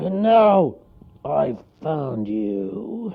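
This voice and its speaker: A put-on character voice, gruff and growling, sits at a low-to-middle pitch. Its pitch swings very widely. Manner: menacing.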